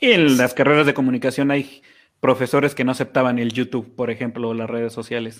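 At a very fast pace, a man talks in a medium pitch with monotone, flat intonation. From Mexico, Chihuahua. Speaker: podcast co-host. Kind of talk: casual chat.

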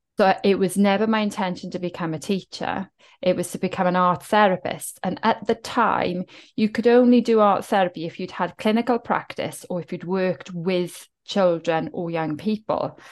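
Against a quiet background, a woman with a Welsh accent talks at a moderate pace and medium pitch, her pitch varying in an ordinary way. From South Wales, Welsh Valleys. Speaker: writer and wellbeing coach. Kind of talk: interview.

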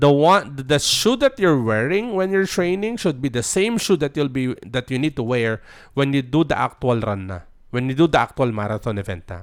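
In a Filipino accent, a man speaks at a moderate pace in a fairly high voice with very wide pitch swings, on a very clean recording with a silent background. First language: Tagalog. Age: 40s. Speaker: podcast host. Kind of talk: solo monologue podcast. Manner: casual code-switching, halting with fillers.

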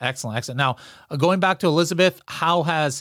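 With a plain, everyday voice, a man speaks at a fairly quick pace and ordinary pitch variation. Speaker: podcast host. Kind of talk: casual interview. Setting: video call.

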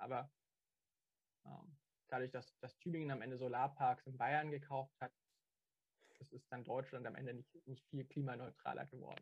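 A man's somewhat breathy, medium-pitched voice comes through monotone and flat, broken by long, frequent pauses, with a dry, close sound and no echo. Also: moderate pace. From Stuttgart. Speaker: student and local party activist. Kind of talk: casual interview. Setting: video call.

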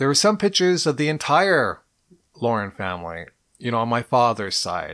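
At a moderate pace, the voice moves through very wide pitch swings on a very clean recording with a silent background. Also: man. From Montreal, Quebec, Canada. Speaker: career coach podcaster. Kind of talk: solo podcast monologue.

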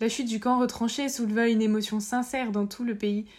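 A woman with a plain, everyday voice talks at a moderate pace, her fairly high pitch moving in fairly even intonation. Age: 20s. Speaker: podcast host, interviewer. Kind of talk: scripted narration.

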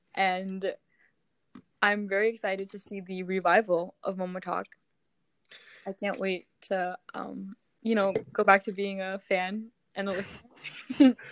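Monotone and flat, a woman of medium pitch speaks fairly slowly, leaving long, frequent pauses, with big swings in loudness. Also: dry, close sound with no echo. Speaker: podcast host. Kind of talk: casual chat. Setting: video call.

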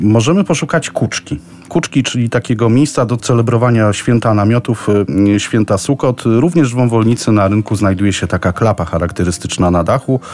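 Fairly quick speech with very even loudness and ordinary pitch variation plays over noticeable background noise. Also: man, medium pitch for a man. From Poland, Kraków. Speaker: tour guide. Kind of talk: informal travel recommendations for radio.

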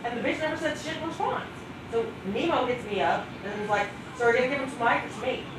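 Lively intonation comes through at a fairly quick pace in an American accent. Audible room echo and noticeable background noise fill the recording. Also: woman, high pitch for a woman. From Ohio. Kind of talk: casual chat. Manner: animated.

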